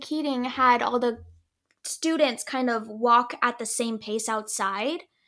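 A woman's high, bright, sharp voice moves at a fairly slow pace with ordinary pitch variation. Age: 20s. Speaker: actress and nonprofit founder. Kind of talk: casual chat.

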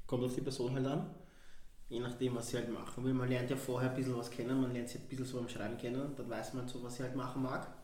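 Over noticeable background noise and audible room echo, a man rattles along at a very fast pace in a monotone, flat delivery at a medium pitch. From Vienna, Austria. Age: 20s. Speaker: podcast guest. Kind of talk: casual chat. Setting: studio.

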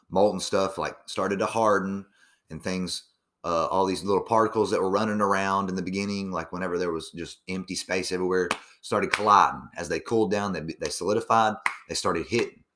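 A man's bright, sharp tone, fairly quick and monotone with flat intonation. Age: 20s. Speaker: solo podcaster. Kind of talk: casual monologue. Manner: casual, profane.

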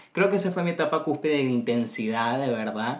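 The pace is fairly quick as a man talks. Noticeable background noise runs underneath. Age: 20s. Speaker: podcast host. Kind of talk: casual chat.

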